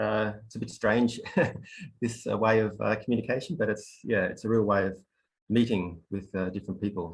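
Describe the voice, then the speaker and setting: With an Australian accent, a man speaks at a moderate pace in a fairly low pitch, showing vocal fry and fairly even intonation. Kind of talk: online workshop presentation.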